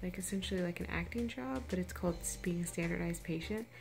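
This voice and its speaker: A woman's voice with music in the background and audible room echo. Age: 30s. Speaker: vlogger and actress. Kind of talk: casual vlog chat. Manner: animated.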